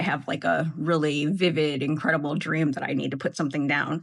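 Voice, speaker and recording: With vocal fry and a very deep, low pitch, a woman talks at a moderate pace. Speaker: journaling YouTuber. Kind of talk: casual video talk. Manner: animated.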